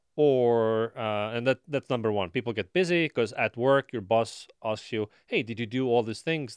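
A man with an Estonian accent, fairly low pitch, ordinary pitch variation and a moderate pace, in a dry, close sound with no echo over a quiet background. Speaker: marketing company founder. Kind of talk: interview. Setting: studio.

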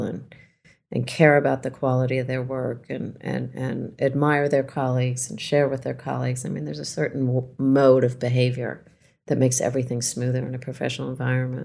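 A woman speaks with a very deep, low pitch. Her pace is fairly quick and her intonation fairly even. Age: 50s. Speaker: author and journalist. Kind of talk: interview.

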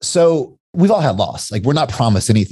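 A somewhat breathy man's voice in an American accent, with lively intonation. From Kentucky, US. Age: 40s. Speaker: entrepreneur. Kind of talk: casual chat.

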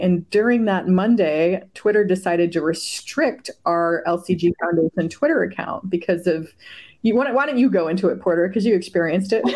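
At a moderate pace, a woman talks with fairly low pitch and ordinary pitch variation. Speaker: podcast host and marketing agency owner. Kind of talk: casual interview chat. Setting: call. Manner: animated.

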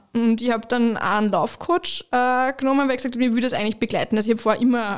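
A woman's fairly even intonation on a very clean recording with a silent background. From Austria, Lower Austria (Waldviertel). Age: 30s. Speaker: company managing director. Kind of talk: interview testimony.

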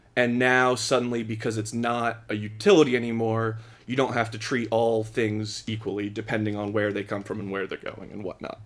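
A man with an American accent at a fairly quick pace, medium in pitch, monotone and flat in intonation, with music in the background. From Philadelphia area, US. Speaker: podcast guest explaining net neutrality. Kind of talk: casual chat.

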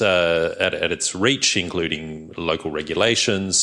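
Someone with an Australian accent speaks over noticeable background noise. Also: man. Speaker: climate policy researcher. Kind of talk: panel discussion talk. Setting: stage with audience.

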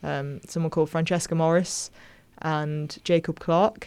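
In a very clean recording with a silent background, a woman with a Manchester accent speaks in a very deep, low pitch with monotone, flat intonation. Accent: Mancunian. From northern England, Manchester area. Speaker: pop singer-songwriter. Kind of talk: interview. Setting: studio.

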